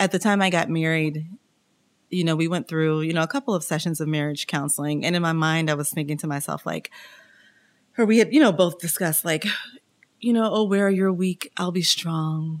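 Talking at a fairly quick pace with an American accent, a woman has an ordinary speaking voice, fairly low in pitch, with ordinary pitch variation. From Kansas City, US Midwest. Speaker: church member sharing her divorce story. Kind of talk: casual interview.

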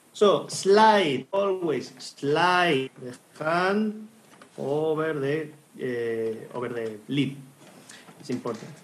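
Speaking with a Spanish accent, a man goes at a very slow pace with long, frequent pauses. His fairly high voice has lively intonation and big swings in loudness. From Spain. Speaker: hurdy-gurdy teacher and co-host. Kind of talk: casual chat.

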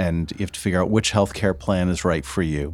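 A man with a very deep, low voice speaks with fairly even intonation. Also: very clean recording, silent background. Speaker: co-host financial planner. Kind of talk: casual interview chat.

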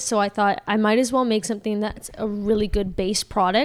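A woman in a normal speaking voice with a Canadian accent, fairly high in pitch, with fairly even intonation at a moderate pace. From Canada. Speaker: skincare entrepreneur. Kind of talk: casual chat.

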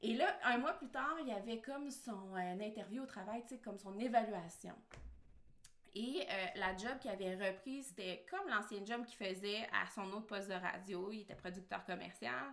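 This woman has a normal speaking voice, pitched fairly high, with ordinary pitch variation. She talks at a moderate pace, and her loudness swings widely. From Quebec. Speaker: marketing strategist and online entrepreneur. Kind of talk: casual interview chat.

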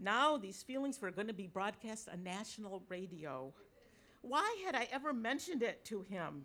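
In an ordinary speaking voice, a woman with an American accent talks at a moderate pace and a fairly high pitch, with lively intonation. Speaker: writer. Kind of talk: live storytelling on stage. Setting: stage with audience at a brewery.

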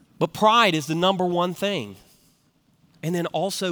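Speech from a man in a Southern US accent, very cleanly recorded against a silent background. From US South (Tennessee). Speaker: pastor. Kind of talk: sermon. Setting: church with live congregation. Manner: folksy.

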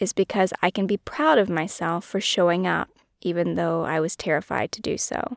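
A woman speaks at a moderate pace. The recording is very clean and dry, close-miked with no echo and a silent background. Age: 30s. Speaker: podcast host and author. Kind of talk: solo personal monologue.

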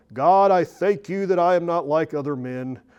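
Someone delivers a put-on character voice at a moderate pace. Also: man, high pitch for a man. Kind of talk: super religious. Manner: pompous, self-righteous.

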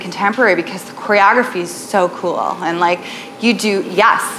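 The pace is moderate. Noticeable noise sits in the background. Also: woman. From Western New York, Buffalo area. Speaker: tap teacher and dance studio owner. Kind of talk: workshop presentation. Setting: live room with audience at a retreat. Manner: casual, filler-heavy.

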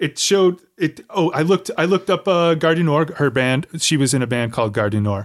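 In a plain, everyday voice, a man speaks fairly quickly at a fairly high pitch, his intonation lively and his loudness very even, on a very clean recording with a silent background. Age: middle-aged. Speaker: podcast host. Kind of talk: casual interview.

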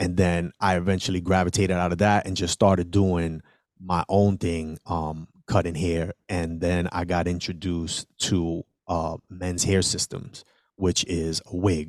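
In a very deep, low pitch, a man with an American accent speaks monotone and flat at a fairly slow pace, the sound dry and close with no echo on a very clean recording with a silent background. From New York City, South Bronx. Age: 40s. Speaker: entrepreneur. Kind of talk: interview.

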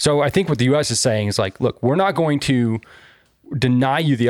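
At a very fast pace, a man talks with a medium pitch. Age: 30s. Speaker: podcast co-host. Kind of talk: casual chat. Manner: animated.

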